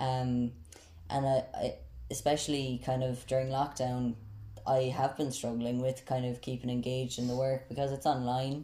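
The voice has a Tipperary accent and a dark, mellow tone that is somewhat breathy. It moves at a moderate pace in a flat monotone. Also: man, medium pitch for a man. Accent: Irish, Tipperary. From South Tipperary, Ireland. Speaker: university student. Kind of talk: casual interview.

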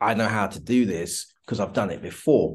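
With a British accent, a man speaks in a medium pitch with ordinary pitch variation. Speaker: entrepreneur. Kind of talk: interview. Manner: halting.

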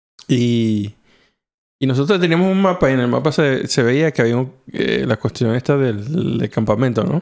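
A normal speaking voice with very even loudness and lively intonation. The pace is moderate. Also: man, medium pitch for a man. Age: 40s. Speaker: podcast host. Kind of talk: casual chat.

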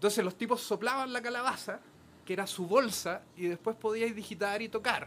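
The speaker has a Chilean accent. The pace is moderate. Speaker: musician in a medieval-style band. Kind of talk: casual chat.

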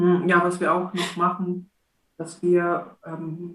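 A woman speaks with a fairly low pitch. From Belarus. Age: 30s. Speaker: church street evangelist. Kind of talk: casual chat.

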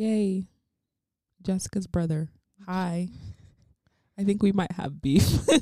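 With a dark, mellow tone and a somewhat breathy sound, the voice moves at a very slow pace with fairly even intonation and long, frequent pauses. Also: woman, medium pitch for a woman. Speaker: podcast host. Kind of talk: casual chat. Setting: in the guest's living room. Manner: laughing often.

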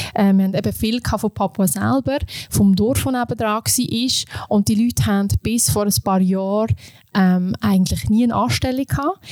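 A woman's somewhat breathy voice at medium pitch, very even in loudness, with ordinary pitch variation, a moderate pace, and a dry, close sound free of echo. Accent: Aargau. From Switzerland, canton Aargau. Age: 30s. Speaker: vocational education specialist, former dive resort manager. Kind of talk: interview.

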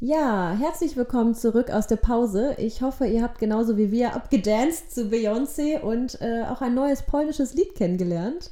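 A woman's high pitch and dark, mellow tone, with lively intonation, a moderate pace, and hardly any pauses. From Germany (born in Poland, moved at age one). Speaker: actress and theatre educator, podcast co-host. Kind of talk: casual chat. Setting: studio-like home recording, sitting opposite co-host.

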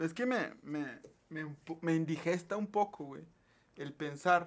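With a fairly high pitch and ordinary pitch variation, a man speaks in a plain, everyday voice. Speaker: podcast host. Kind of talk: casual chat.

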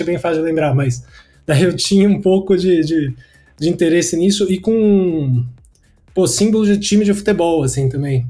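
Music plays in the background as a man with a high pitch talks at a fairly quick pace with lively intonation. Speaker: designer and creative director. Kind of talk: casual interview.

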